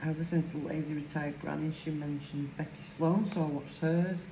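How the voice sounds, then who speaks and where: A woman's very deep, low voice in a strong Lancashire accent, moderate pace and flat, monotone delivery, with audible room echo and noticeable background noise. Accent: broad Lancashire. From northern England, Lancashire. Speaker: crafting YouTuber. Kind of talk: casual chat while crafting.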